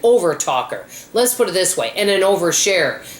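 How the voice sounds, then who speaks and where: A woman with an American accent talks in an animated tone at a moderate pace, with ordinary pitch variation. Noticeable background noise runs underneath. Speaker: frugal living vlogger. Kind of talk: casual vlog monologue. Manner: animated, hyper.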